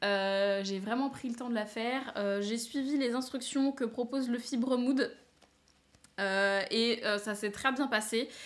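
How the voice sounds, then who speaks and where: Speaking at a very slow pace, a woman holds a fairly high pitch with fairly even intonation. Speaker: knitting and sewing podcaster. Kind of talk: casual chat. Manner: hesitant, many fillers.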